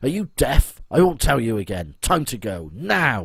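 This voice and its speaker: A man puts on a booming character voice at a medium pitch, with very wide pitch swings and big swings in loudness. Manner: commanding, impatient.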